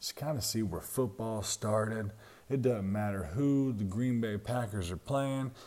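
A man speaks at a moderate pace in a Southern US accent. His voice sits at medium pitch with ordinary pitch variation. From Jacksonville, Florida. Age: 30s. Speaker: sports podcast host. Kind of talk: solo sports commentary.

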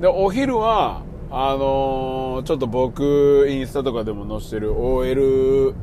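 A man with a Kansai accent at a very slow pace, amid noticeable background noise and audible room echo. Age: 40s. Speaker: podcast host. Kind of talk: casual monologue. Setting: in a car.

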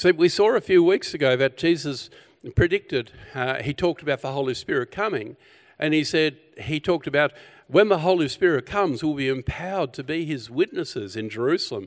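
With an Australian accent and lively intonation, a man talks at a fairly high pitch, the sound dry and close with no echo. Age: 60s. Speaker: pastor. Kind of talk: sermon.

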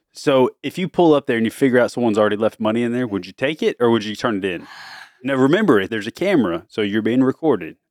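Lively intonation marks this man's very fast speech at a medium pitch. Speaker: father co-hosting family podcast with daughters. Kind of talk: casual family chat. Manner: laughing often.

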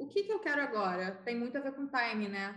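A woman's high-pitched voice with lively intonation and audible room echo. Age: 20s. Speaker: advertising professional. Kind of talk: casual chat.

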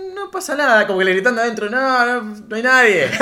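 Raised, projected man's voice, high in pitch, with a bright, sharp tone, an animated tone and lively intonation. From Argentina, Rafaela (Santa Fe). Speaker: podcast co-host. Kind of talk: casual chat.

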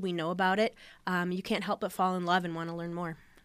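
A woman with an Upper Midwest accent speaks at a medium pitch in a very clean recording with a silent background. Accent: Upper Midwest American. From US Midwest (northeast Iowa). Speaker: soil and crop management educator. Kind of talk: radio interview.

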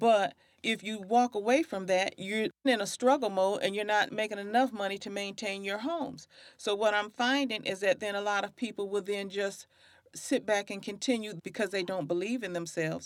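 A woman at a medium pitch, with ordinary pitch variation and a moderate pace. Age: 50s. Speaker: podcast host, community outreach consultant. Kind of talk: faith-based conversation.

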